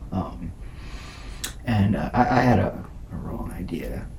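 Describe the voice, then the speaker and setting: Whispering over noticeable background noise, a man is heard with audible room echo. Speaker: ASMR youtuber. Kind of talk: ASMR music review. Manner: soft-spoken; hesitant with many fillers.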